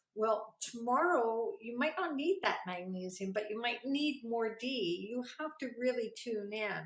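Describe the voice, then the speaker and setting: In an unremarkable speaking voice, the speaker goes at a fairly slow pace with lively intonation and hardly any pauses. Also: woman. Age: 60s. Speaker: psychic and naturopath. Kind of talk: interview.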